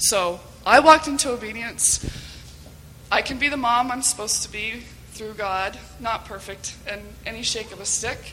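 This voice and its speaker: There is noticeable background noise as a woman speaks with long, frequent pauses. Her voice is fairly high, with ordinary pitch variation. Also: moderate pace, big swings in loudness. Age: 40s. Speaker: volunteer moderator, mother. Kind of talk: testimony.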